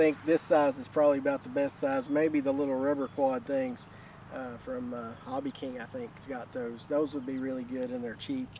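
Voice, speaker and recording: Moderately paced, flat, monotone speech from a man, in a dry sound with no echo and light background noise. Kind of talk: casual group chat to camera. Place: open country. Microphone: camera far.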